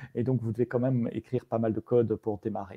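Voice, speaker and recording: Dark and mellow yet somewhat breathy, a man's voice races at a very fast pace in a dry, close recording with no echo. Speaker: tech evangelist presenting a framework. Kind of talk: online meetup presentation. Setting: live stream. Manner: hesitant, many fillers.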